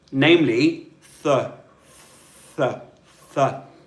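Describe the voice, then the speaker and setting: Here a man speaks in a Southern British accent. His pace is very slow and his pitch varies in an ordinary way. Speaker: English pronunciation teacher. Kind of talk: live online language lesson. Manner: slow, clear.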